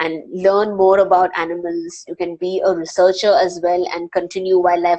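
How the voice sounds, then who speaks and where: A woman speaks with an Indian accent. Her pitch sits fairly low. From India, Panvel near Mumbai. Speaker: wildlife filmmaker and presenter. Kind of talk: live Q&A interview.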